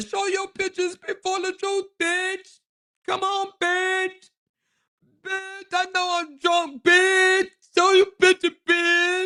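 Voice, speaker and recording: Shouting in a put-on character voice, a female-sounding voice goes extremely high in pitch at a very slow pace with monotone, flat intonation. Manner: yelling, aggressive.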